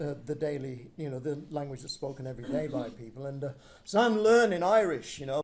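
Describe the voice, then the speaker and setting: A man with an English accent and a fairly high voice speaks at a moderate pace with lively intonation. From northern England. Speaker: storyteller. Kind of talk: casual chat. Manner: halting.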